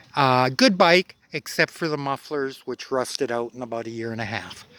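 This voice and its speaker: A man with a western Canadian accent, medium pitch and a bright, sharp tone, at a moderate pace with ordinary pitch variation, in a dry, close sound with no echo. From Alberta, Canada. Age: 60s. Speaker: motorcycle vlogger. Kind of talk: casual vlog monologue. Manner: relaxed, many fillers (uh, um).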